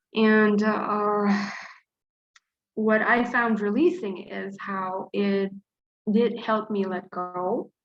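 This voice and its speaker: A woman at medium pitch, very slow pace, long and frequent pauses, and fairly even intonation. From Dubai, Gulf region. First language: Arabic. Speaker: flash fiction writer and teacher. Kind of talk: interview. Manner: hesitant, many fillers.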